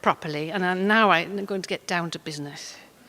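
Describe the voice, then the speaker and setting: In a Welsh accent, a woman talks at a fairly quick pace with a bright, sharp tone. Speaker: poet. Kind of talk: talk with poetry reading. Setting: stage with audience. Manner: hesitant with many fillers.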